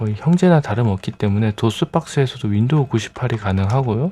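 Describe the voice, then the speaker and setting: Somewhat breathy and dark, mellow in tone, a man talks at a fairly quick pace with a medium pitch and ordinary pitch variation. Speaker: retro computer hardware youtuber. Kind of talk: tutorial. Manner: hesitant with many fillers.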